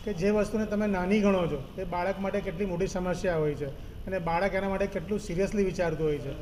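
A man's high pitch and fairly even intonation, amid noticeable background noise and audible room echo. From India, Vadodara (Gujarat). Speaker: film producer. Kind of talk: press interview.

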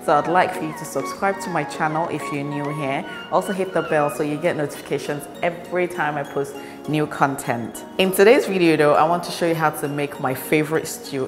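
Over clear music in the background, a woman with a very deep, low pitch talks at a fairly quick pace. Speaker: cooking channel host. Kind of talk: tutorial. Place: kitchen.

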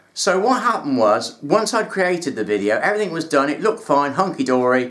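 The setting is quiet. A man's pitch swings very widely as he talks. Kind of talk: tutorial. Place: home room.

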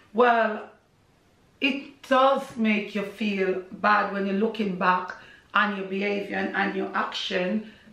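In a Jamaican accent, a woman speaks very slowly at medium pitch with fairly even intonation, amid audible room echo. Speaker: social media personality and Caribbean food business owner. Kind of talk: casual interview. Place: home room. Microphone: camera far.

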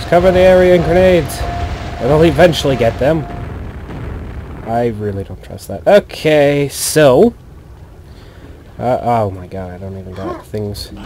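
Over noticeable background noise, a man at medium pitch and moderate pace makes very wide pitch swings and big swings in loudness, with long, frequent pauses. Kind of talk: gaming commentary. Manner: casual.

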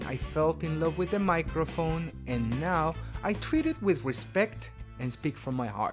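A man speaks at a fairly slow pace. Music is clearly heard in the background. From Latin America. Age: young. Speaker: voice actor. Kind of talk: demo reel introduction. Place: booth. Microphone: studio mic.

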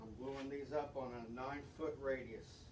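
Over noticeable background noise, a man speaks at a moderate pace with monotone, flat intonation. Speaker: hobbyist boat builder. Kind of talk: woodworking tutorial. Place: garage. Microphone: camera far.

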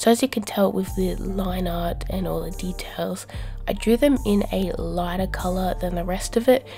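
Music plays in the background. A woman speaks over it at a moderate pace. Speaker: artist. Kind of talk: casual art commentary. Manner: hesitant, filler-heavy.

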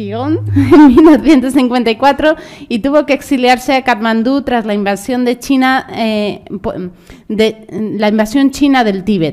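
In a quiet background, a woman with a high pitch and ordinary pitch variation talks at a very slow pace. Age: 30s. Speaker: panel moderator. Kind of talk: panel moderation. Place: hall. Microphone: podium.

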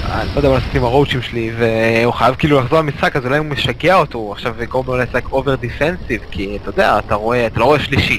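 An animated man at a medium pitch speaks at a very fast pace with hardly any pauses and ordinary pitch variation. Noticeable background noise runs underneath. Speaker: esports commentator. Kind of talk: live esports commentary, casual banter with co-commentator. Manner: animated, excitable, exclaiming at fights and reacting to the action.

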